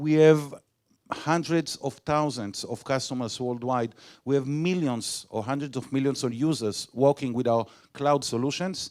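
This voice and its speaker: The recording is very clean, with a silent background. A man with an Israeli accent talks at a moderate pace in a fairly high pitch. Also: ordinary pitch variation. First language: Hebrew. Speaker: sales director. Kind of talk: conference talk. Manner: halting.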